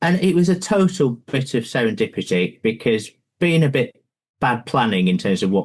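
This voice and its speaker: A man with a northern English accent, very wide pitch swings and a fairly quick pace. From northern England, Lancashire. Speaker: pension fund investment chief. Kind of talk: podcast interview.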